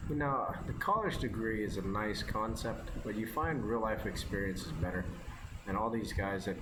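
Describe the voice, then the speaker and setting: A man with an American accent and ordinary pitch variation, amid audible room echo and noticeable background noise. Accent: Americanized. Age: 30s. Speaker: mobile game streamer. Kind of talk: casual gameplay commentary. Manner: fast; rambling, hesitant with fillers.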